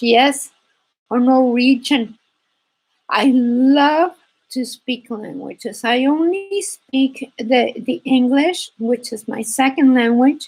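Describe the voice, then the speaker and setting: A woman with a Spanish accent talks at a very slow pace in a high pitch with ordinary pitch variation. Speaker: embroidery teacher. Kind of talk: live stream chat.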